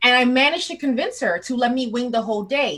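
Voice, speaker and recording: A woman speaks loudly, her pitch sitting fairly high. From Canada (Toronto). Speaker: public speaking coach. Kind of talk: interview. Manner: conversational.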